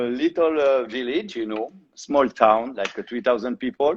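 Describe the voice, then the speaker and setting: A man speaks at a medium pitch with a strong French accent. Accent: thick French. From southwestern France (Tarbes). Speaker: shoe designer. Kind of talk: interview.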